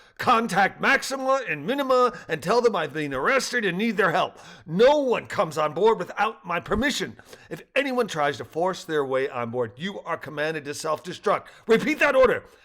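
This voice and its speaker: Shouting in a put-on character voice, a man uses a high pitch with very wide swings and audible hissing. He keeps a moderate pace. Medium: read story. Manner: hot-tempered, shouting and hissing.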